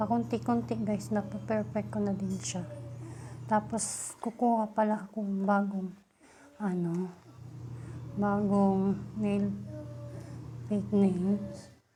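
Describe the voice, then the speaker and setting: The speech moves at a very slow pace, broken by long, frequent pauses. The pitch swings very widely. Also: woman, fairly low pitch for a woman. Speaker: beauty vlogger. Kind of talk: casual tutorial vlog. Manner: deliberately loud.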